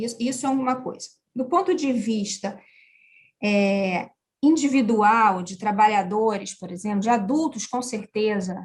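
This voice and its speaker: A woman's fairly high, somewhat breathy voice at a fairly slow pace, with ordinary pitch variation and big swings in loudness. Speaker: education manager. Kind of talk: interview. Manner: talkative.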